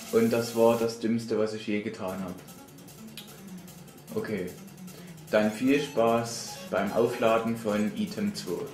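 A man at a very slow pace with long, frequent pauses, medium-pitched and fairly even in intonation, over music in the background. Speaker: let's player. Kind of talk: casual gameplay commentary.

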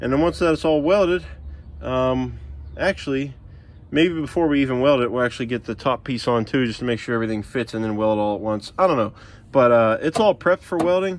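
With a fairly quick pace, a man talks at a medium pitch and ordinary pitch variation.

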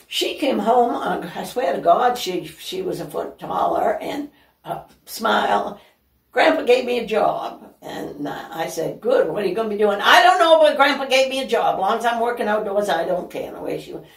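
A woman's fairly high voice swings very widely in pitch and greatly in loudness, with audible room echo around her. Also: moderate pace, quiet background. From northern Maine, Aroostook County; Maine. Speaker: senior living resident; interview guest. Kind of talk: casual interview. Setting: at her home. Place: home room. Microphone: camera far.

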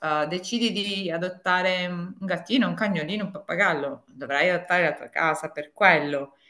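In a quiet background, a woman speaks at a moderate pace and a fairly low pitch, with ordinary pitch variation and hardly any pauses. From Apulia, southern Italy. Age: 50s. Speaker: tax consultant and home organizing consultant; interview guest. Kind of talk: interview. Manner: halting, many fillers. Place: home room. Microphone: video call.

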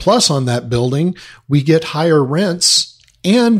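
The voice is somewhat breathy. It comes with an American accent. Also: man. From Southern California. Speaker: apartment investor. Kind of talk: interview.

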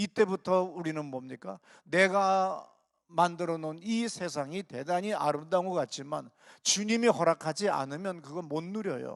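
A man with a high voice speaks at a moderate pace with ordinary pitch variation, in a dry, close sound with no echo and a quiet background. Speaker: pastor. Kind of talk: sermon. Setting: church.

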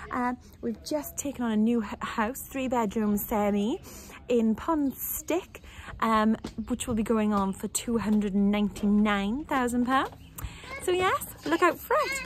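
A woman with a Welsh accent speaks in a fairly high, somewhat breathy voice, upbeat and enthusiastic, with lively intonation at a fairly slow pace. The sound is dry with no echo, over light background noise. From South Wales. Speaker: estate agent. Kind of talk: casual talk to camera. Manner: upbeat, enthusiastic. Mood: cheerful, relaxed. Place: home room. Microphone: phone near.

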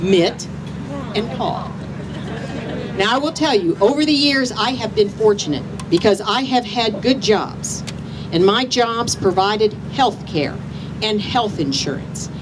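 A fairly slow, passionate delivery with long, frequent pauses, lively intonation and an American accent, over noticeable background noise. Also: woman, fairly high pitch for a woman. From US Midwest. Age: 50s. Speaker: rally speaker. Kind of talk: rally speech, rousing and personal testimony. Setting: outdoor rally with crowd. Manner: emphatic, rallying the crowd with direct questions, earnest and passionate. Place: street. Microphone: handheld.

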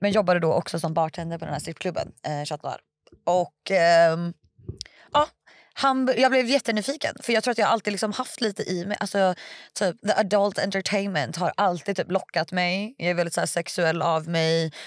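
A woman speaks at a moderate pace with ordinary pitch variation. The background is quiet and the sound dry, with no echo. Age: 20s. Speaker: stripper and online content creator; podcast guest. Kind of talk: casual interview. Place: studio. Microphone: studio mic.

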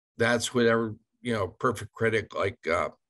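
Over a quiet background, a man speaks with vocal fry and a bright, sharp tone. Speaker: mortgage lender; guest. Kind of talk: presentation in a business meeting. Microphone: video call.

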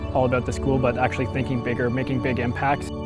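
A man talks over clear background music, the sound dry with no echo. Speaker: entrepreneur, university graduate. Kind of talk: interview answer. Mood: upbeat, enthusiastic. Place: garden.

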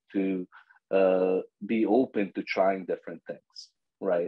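A man with a Serbo-Croatian accent speaks against a quiet background. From Bosnia. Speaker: agile coach. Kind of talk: casual interview. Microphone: video call.

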